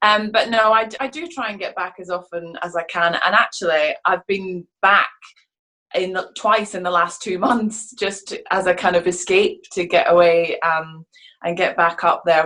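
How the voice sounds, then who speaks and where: A woman with a medium pitch and a bright, sharp tone talks at a moderate pace with ordinary pitch variation. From Scotland, Fife then Midlothian. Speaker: musical theatre actress. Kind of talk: interview.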